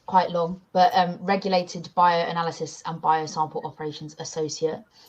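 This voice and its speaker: A woman speaks at medium pitch in a monotone, flat intonation. Her voice is somewhat breathy. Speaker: graduate lab operations associate. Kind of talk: panel introduction.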